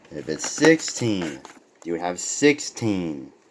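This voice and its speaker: Noticeable background noise sits behind a man with a very deep, low pitch. He speaks very slowly, with very wide pitch swings. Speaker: diecast car collector. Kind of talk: casual review talk to camera. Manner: stuttering.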